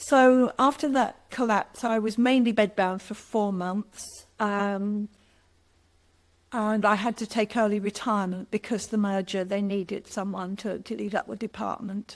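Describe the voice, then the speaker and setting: On a very clean recording with a silent background, a woman in an unremarkable speaking voice talks at a medium pitch and a fairly slow pace with fairly even intonation. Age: 60s. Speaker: recovered patient sharing testimony. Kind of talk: testimony.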